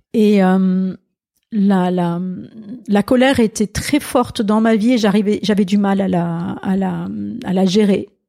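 A woman speaks at medium pitch with ordinary pitch variation and a dark, mellow tone. The sound is dry and close with no echo, and the recording is very clean with a silent background. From Alsace, France. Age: 60s. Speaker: pastor and author. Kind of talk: interview conversation.

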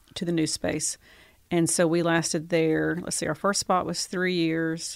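Against a silent background, a very clean recording captures someone talking at a fairly slow pace. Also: woman. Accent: Southern US. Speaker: gallery owner. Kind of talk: relaxed interview chat, conversational. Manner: easygoing, chatty.

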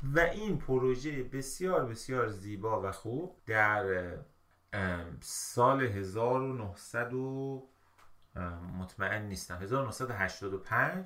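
With a bright, sharp tone and lively intonation, a man speaks at a very slow pace. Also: medium pitch for a man. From Iran, Mashhad. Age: 40s. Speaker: civil engineer. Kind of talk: casual chat. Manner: loud.

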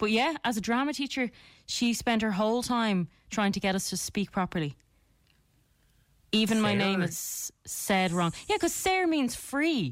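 In an Irish accent, a woman with a fairly high pitch speaks at a moderate pace, her loudness very even while her pitch swings very widely. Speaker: radio host.

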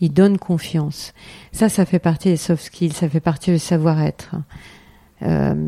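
A woman's fairly low voice, fairly slow with long, frequent pauses, fairly even in intonation and very even in loudness, over noticeable background noise. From France, Eure-et-Loir. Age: 50s. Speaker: member of parliament. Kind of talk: interview. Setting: constituency office. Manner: halting, many fillers and repetitions.

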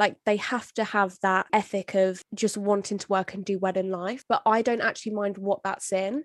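A woman with an ordinary speaking voice talks at medium pitch and a moderate pace, with fairly even intonation and hardly any pauses. The sound is dry and close with no echo, and the background is quiet. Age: 20s. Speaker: podcast co-host, law professional. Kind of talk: casual chat.

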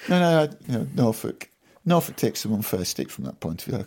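The speech moves at a fairly quick pace with very wide pitch swings. Vocal fry runs through the voice. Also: man. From South Yorkshire, England. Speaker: farmer. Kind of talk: casual interview chat.

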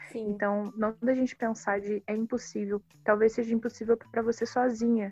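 In a monotone, flat delivery, a woman speaks at a fairly high pitch. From Rio de Janeiro, Baixada Fluminense. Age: 20s. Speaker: filmmaker. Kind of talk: interview.

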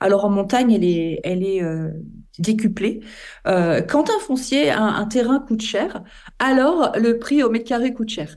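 A woman talks in a normal speaking voice at a fairly high pitch. Her pace is moderate. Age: 50s. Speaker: environmental association founder. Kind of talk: interview.

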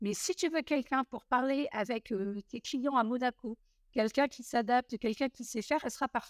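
A woman's high-pitched voice at a fairly quick pace, with ordinary pitch variation, in a dry, close sound with no echo and a very clean recording against a silent background. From southern France (Montpellier). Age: 40s. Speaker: mortgage broker and trade union founder. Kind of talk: interview.

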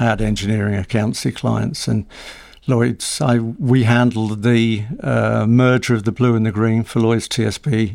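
At a moderate pace, this is a normal speaking voice. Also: man. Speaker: business news editor and publisher. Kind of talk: casual interview.

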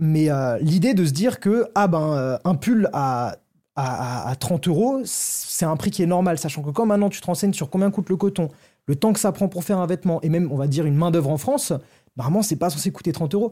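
In a very clean recording with a silent background, a man with a high voice for a man and a dark, mellow tone speaks at a fairly quick pace with lively intonation. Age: 20s. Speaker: TikToker and fashion retail worker. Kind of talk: casual chat.

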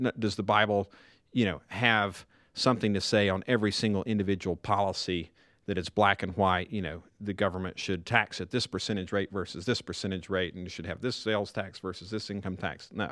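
In a Tennessee accent, a man talks at a fairly quick pace with a fairly low pitch and fairly even intonation, on a very clean recording with a silent background. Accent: Southern US (Tennessee). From East Tennessee. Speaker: former government China policy official. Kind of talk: casual chat.

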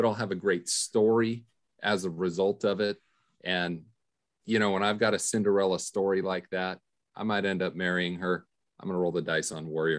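Against a quiet background, the voice moves at a moderate pace with fairly even intonation and long, frequent pauses. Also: man. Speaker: podcast co-host. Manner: playful contrarian.

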